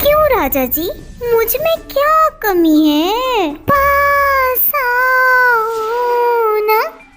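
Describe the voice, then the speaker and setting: Over loud background noise, a female-sounding, cartoonish character voice speaks at a very slow pace with an extremely high pitch. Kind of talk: cartoon story character voice. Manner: teasing, coaxing.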